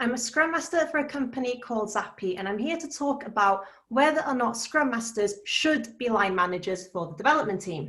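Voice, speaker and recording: Fairly high-pitched woman in a Welsh accent, lively intonation, fairly quick pace, hardly any pauses, audible room echo. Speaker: scrum master. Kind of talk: conference talk. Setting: meetup lightning talk.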